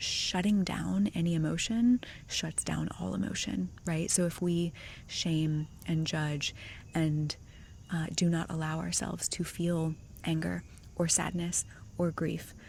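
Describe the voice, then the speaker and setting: Soft-spoken and somewhat breathy, a woman talks at a fairly slow pace with long, frequent pauses. Her very deep, low pitch moves with lively intonation. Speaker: ASMR creator. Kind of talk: ASMR Q&A chat. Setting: outdoors.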